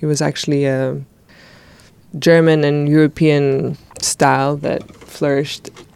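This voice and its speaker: Speaking at a fairly slow pace, a woman has a very deep, low pitch and monotone, flat intonation. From Greece. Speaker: architect and educator. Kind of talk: interview.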